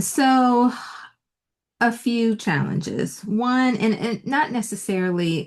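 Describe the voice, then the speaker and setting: A woman speaks very slowly in a fairly high, somewhat breathy voice. The background is quiet. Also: lively intonation. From Virginia, Petersburg. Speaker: entrepreneur. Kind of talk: interview. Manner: soft-spoken.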